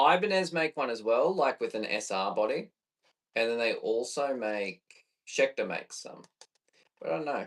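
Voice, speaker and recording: A man talks with an Australian accent. He leaves long, frequent pauses. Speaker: bass player and streamer. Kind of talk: casual live stream chat while recording music. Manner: casual, thinking aloud.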